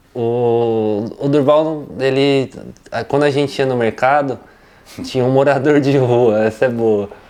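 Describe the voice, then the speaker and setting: Using a dark, mellow tone, a man speaks at a medium pitch and a fairly slow pace with fairly even intonation. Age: 30s. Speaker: interviewee, family member of a plant grower. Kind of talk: interview.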